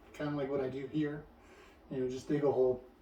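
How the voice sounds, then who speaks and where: A man speaks with fairly even intonation. Noticeable background noise runs behind him. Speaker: hiker vlogger. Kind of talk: casual talk to camera. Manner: halting, many fillers and repeats.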